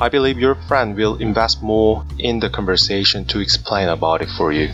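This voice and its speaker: A man with a Korean accent and a very deep, low pitch speaks at a moderate pace with lively intonation. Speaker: YouTuber explaining Korean culture. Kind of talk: vlog-style explainer.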